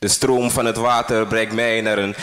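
A man is speaking. His tone is dramatic. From Suriname. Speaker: spoken word poet. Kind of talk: spoken word poem performance, intense and confessional. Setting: stage with audience. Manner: dramatic, slow and deliberate with pauses, repeating lines for emphasis. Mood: somber, intense. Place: stage.

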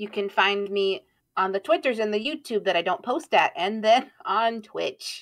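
A woman uses an ordinary speaking voice at a fairly high pitch. She speaks at a moderate pace with lively intonation. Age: 20s. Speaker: vtuber streamer. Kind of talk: casual chat. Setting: live stream.

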